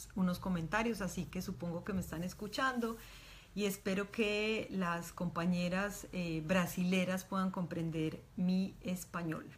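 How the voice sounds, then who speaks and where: A woman talks at a fairly slow pace and medium pitch. Her voice is somewhat breathy, with fairly even intonation. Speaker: doctor and reproductive rights activist. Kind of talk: online talk.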